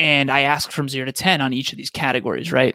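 A bright, sharp tone at a fairly quick pace, with fairly even intonation and a dry, close sound with no echo. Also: man. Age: 30s. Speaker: podcast host and speaker. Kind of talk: interview.

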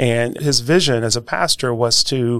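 With an American accent, the voice has a bright, sharp tone and fairly even intonation. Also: man. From Milwaukee, Wisconsin (north side). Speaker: investment firm founder. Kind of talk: interview. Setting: studio.

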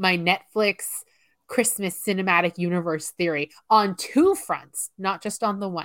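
Her voice is animated, at a medium pitch with ordinary pitch variation and a fairly slow pace, recorded very cleanly against a silent background with a dry, close sound and no echo. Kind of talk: casual chat. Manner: animated, excitable.

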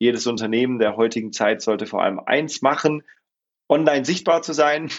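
This man talks at a fairly quick pace in a normal speaking voice. His pitch is medium, with ordinary pitch variation. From Swabia, southern Germany. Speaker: employee benefits consultant. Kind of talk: interview.

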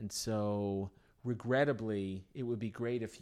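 An unremarkable speaking voice comes through with ordinary pitch variation. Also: man. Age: 50s. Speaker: town mayor and dentist. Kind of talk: interview. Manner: casual.

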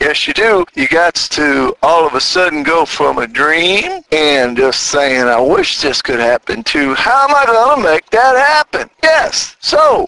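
A man with an American accent at a fairly slow pace, his loudness very even. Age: 60s. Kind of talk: casual monologue. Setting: in a car.

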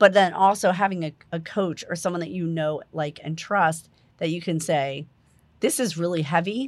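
A woman speaks in a normal speaking voice with an American accent, fairly low in pitch with ordinary pitch variation. Her pace is moderate, on a very clean recording with a silent background. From New Jersey. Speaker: holistic life coach. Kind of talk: guided meditation; casual interview chat.

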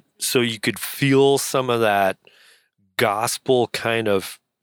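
A man with a plain, everyday voice and fairly even intonation, dry and close with no echo, on a very clean recording with a silent background. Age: 50s. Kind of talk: casual chat.

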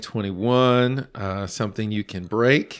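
In a normal speaking voice with an American accent, a man talks at a fairly slow pace and medium pitch with ordinary pitch variation. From Los Angeles. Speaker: podcast host. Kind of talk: casual chat.

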